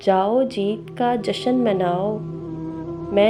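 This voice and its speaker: A woman speaks with a medium pitch. Music plays in the background. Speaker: voice-over artist. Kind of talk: poetry reading. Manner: suspenseful, emotional.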